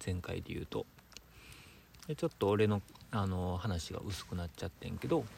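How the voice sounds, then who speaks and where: A quiet, somewhat breathy man's voice, fairly low in pitch, at a moderate pace. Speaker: designer, podcast co-host. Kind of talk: casual chat. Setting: campsite, by a campfire. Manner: quieter, calm delivery.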